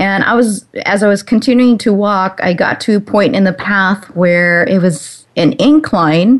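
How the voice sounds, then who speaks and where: A woman of medium pitch with an unremarkable speaking voice, at a fairly slow pace, with hardly any pauses, ordinary pitch variation and very even loudness. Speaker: radio host. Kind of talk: radio interview. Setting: internet talk radio. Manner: warm, upbeat.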